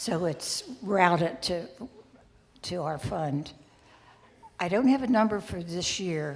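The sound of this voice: At a slow pace, a woman speaks with fairly low pitch and ordinary pitch variation.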